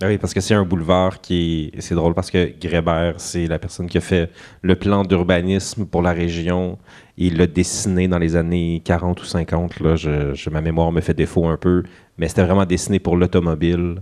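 A man's very deep, low voice with a dark, mellow tone, monotone, flat intonation and a moderate pace, over a quiet background. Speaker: podcast host. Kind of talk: casual interview.

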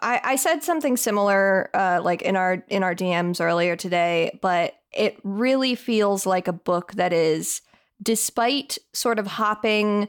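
A woman speaks with lively intonation at a moderate pace in an unremarkable speaking voice. The recording is very clean, with a silent background. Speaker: podcast host. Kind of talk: casual chat.

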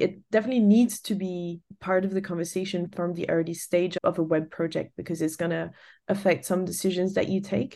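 Against a quiet background, a woman speaks at a fairly quick pace with a dark, mellow tone and fairly even intonation. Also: medium pitch for a woman. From France. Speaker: designer and studio founder. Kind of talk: interview. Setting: remote call.

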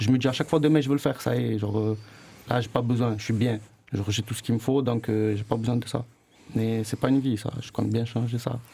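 A man with a medium pitch speaks at a fairly quick pace in a somewhat breathy voice, its dark, mellow tone carrying fairly even intonation. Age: 20s. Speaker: former student. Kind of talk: casual chat. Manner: halting.

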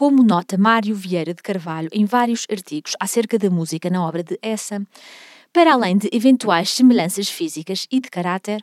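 A woman of medium pitch talks at a moderate pace with lively intonation in a plain, everyday voice, the sound dry and close with no echo in a very clean recording with a silent background. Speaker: podcast host, music history guide. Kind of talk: scripted narration.

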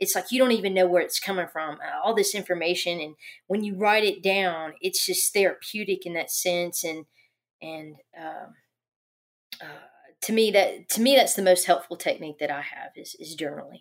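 A woman with an ordinary speaking voice, medium pitch and moderate pace, big swings in loudness, ordinary pitch variation, on a very clean recording with a silent background. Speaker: construction safety professional. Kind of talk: casual chat.

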